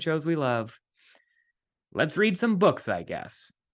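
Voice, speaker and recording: Against a quiet background, a man with an American accent and an unremarkable speaking voice talks in a fairly high pitch with lively intonation. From West Virginia. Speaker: podcast host and TV writer. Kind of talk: casual interview chat. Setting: video call.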